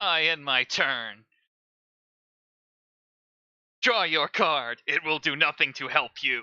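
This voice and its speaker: A raspy put-on character voice at middle pitch moves at a fairly slow pace, broken by long, frequent pauses. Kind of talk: theatrical. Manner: menacing, gloating.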